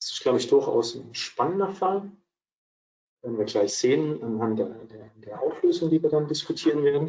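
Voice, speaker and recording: A man with a Swabian accent at a moderate pace. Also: big swings in loudness. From Swabia, southwestern Germany. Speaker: accounting advisor, co-presenter. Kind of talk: webinar presentation. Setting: virtual webinar.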